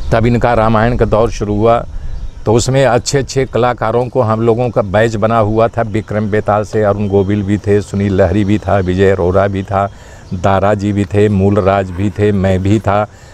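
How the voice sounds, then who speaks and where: Against noticeable background noise, the speech comes in a monotone, flat intonation. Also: man, fairly low pitch for a man. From Uttar Pradesh, India (Bhadohi). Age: 60s. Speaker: actor. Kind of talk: interview.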